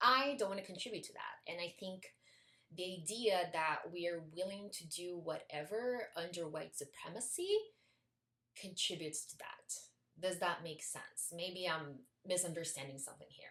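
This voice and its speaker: A woman with a non-native accent talks at a moderate pace in a fairly low pitch. Her tone is bright and sharp, with ordinary pitch variation and big swings in loudness. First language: not English. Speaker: video essayist. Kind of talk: video essay.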